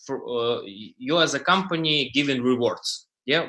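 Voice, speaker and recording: A man speaks at a fairly slow pace in a bright, sharp tone with vocal fry. His intonation is lively, and the background is quiet. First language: not English. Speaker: crypto startup founder. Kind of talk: panel presentation. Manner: halting, many fillers.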